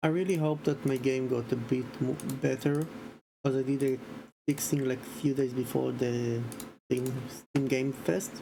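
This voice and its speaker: Quietly, the speaker goes along at a fairly slow tempo. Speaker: streamer and indie game developer. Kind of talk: casual livestream commentary.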